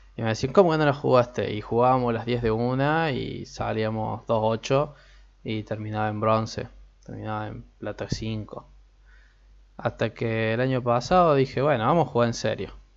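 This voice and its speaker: A man in a normal speaking voice, medium-pitched, with ordinary pitch variation and a moderate pace. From Argentina. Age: 20s. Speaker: podcast host and psychology student. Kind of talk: casual solo podcast talk. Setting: home recording, alone.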